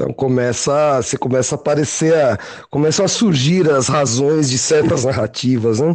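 This man's pitch is fairly high. It shifts with ordinary variation. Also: moderate pace. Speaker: podcast host. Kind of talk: casual chat. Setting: call.

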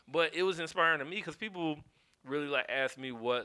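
A man speaks in an American accent at a fairly quick pace. His tone is bright and sharp. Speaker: podcast co-host. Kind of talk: casual chat.

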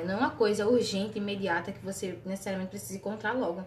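Through noticeable background noise and audible room echo, a woman speaks at a medium pitch with ordinary pitch variation. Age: 20s. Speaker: nursing student. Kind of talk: casual chat.

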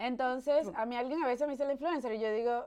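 A woman's fairly high, dark, mellow voice at a very fast pace with ordinary pitch variation. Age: 30s. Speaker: podcast host. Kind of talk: casual chat. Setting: studio. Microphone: new microphone.

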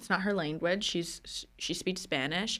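It is an unremarkable speaking voice with fairly even intonation. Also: woman. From New Jersey. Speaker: business assistant. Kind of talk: casual chat.

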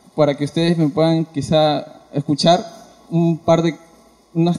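Noticeable background noise sits behind a man. His fairly high voice keeps a fairly even intonation. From Ica, Peru. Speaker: audience member, aspiring singer. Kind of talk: audience testimony.

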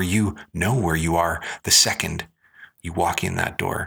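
A bright, sharp tone marks this man's voice, which has ordinary pitch variation. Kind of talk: spoken word poetry, rhythmic rhyming performance. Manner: rhythmic, rhyme-driven, punchy delivery with emphatic cadence; reflective, earnest, introspective.

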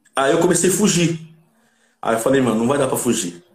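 A man talks at a moderate pace with lively intonation and a fairly high pitch. His voice is somewhat breathy. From Santo André, São Paulo, Brazil. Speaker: cavaquinho player and music producer. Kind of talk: casual interview chat.

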